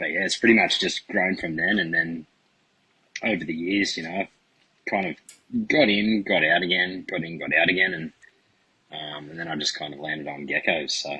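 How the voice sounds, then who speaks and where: With an Australian accent, a man talks at a moderate pace, his loudness swinging widely. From Australia, Central Coast NSW. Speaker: reptile breeder. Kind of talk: podcast interview.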